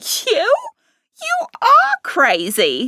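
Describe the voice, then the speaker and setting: A woman uses a squeaky, put-on character voice at an extremely high pitch. The sound is dry and close, with no echo. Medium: read story. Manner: shrill, shrieking.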